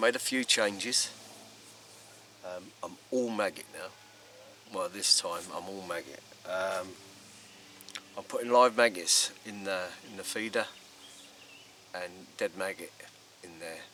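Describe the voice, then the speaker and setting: A quiet man with an English accent at fairly low pitch, fairly slow with long, frequent pauses, big swings in loudness and fairly even intonation, over noticeable background noise. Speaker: angling vlogger. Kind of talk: casual vlog narration. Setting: outdoors by a lake. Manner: quiet, hesitant with many ums.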